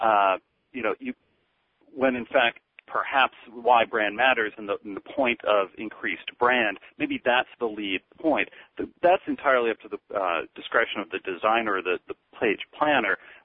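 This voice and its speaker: This man has an ordinary speaking voice, medium in pitch, with ordinary pitch variation and a moderate pace. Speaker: eye tracking researcher. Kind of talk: webinar discussion. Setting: phone call.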